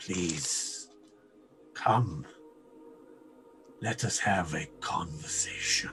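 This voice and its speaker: A man puts on a character voice with a very deep, low pitch. He speaks at a very slow pace with long, frequent pauses over clear music in the background. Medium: actual play. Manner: formal, measured.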